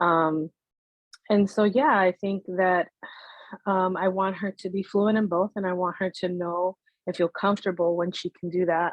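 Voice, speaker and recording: A woman's medium-pitched, monotone, flat delivery with a Spanish accent at a moderate pace. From United States, Spanish-speaking household. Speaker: bilingual Spanish teacher. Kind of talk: interview conversation. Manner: casual, many fillers (um, you know).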